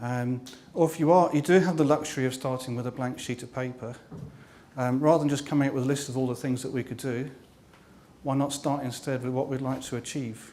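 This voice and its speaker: A man with a London accent races along at a very fast pace at medium pitch. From London, England. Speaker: workshop facilitator and author. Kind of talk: workshop talk. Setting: meetup room with live audience. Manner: hesitant, many fillers.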